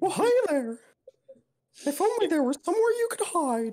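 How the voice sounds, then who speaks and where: In a put-on character voice, the speaker uses an extremely high pitch with very wide pitch swings at a moderate pace. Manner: menacing, mocking.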